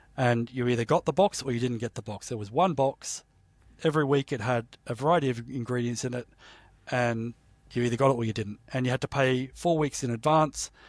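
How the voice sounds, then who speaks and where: With an Australian accent, a man of medium pitch speaks at a moderate pace in dry, close sound with no echo. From Australia, Sydney. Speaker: entrepreneur, company founder. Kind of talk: interview conversation.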